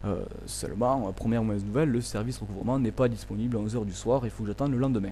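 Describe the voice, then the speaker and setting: Fairly even intonation carries the very fast pace of the speech. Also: man, fairly low pitch for a man. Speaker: vlogger. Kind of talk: complaint monologue. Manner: soft-spoken; hesitant, many fillers.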